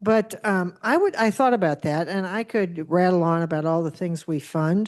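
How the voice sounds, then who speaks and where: Against a quiet background, a woman with a fairly low pitch and a dark, mellow tone speaks at a fairly slow pace. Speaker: foundation leader, panelist. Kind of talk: panel discussion. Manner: loud; animated.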